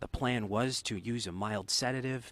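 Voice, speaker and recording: Fairly even intonation from a man. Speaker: TV news field reporter. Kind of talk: live news report. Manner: hushed, quiet, keeping voice low so as not to disturb the monkey.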